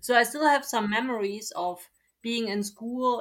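A woman speaks with a German accent. Her pace is moderate and her intonation fairly even. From East Germany (Leipzig). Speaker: German teacher. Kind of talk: interview.

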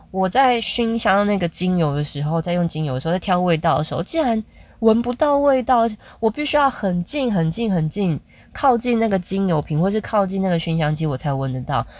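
Pitch swings very widely at a fairly quick pace, on a very clean recording with a silent background. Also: woman, medium pitch for a woman. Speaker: podcaster, mother. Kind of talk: casual monologue.

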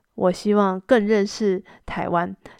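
A woman's medium-pitched voice in a monotone, flat delivery, with a dry, close sound, no echo and a quiet background. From Taiwan. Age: 40s. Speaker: Chinese language teacher, podcast host. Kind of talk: slow-paced language-learning monologue. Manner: clear, deliberate pace for learners.

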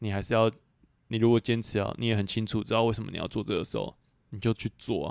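A man's very fast, monotone, flat delivery at a fairly low pitch, dry and close with no echo, in a very clean recording with a silent background. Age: 20s. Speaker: podcast co-host. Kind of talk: casual chat.

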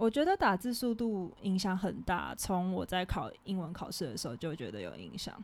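A woman talks at a moderate pace with hardly any pauses, on a very clean recording with a silent background. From Taiwan. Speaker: podcast co-host, student abroad. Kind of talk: casual chat.

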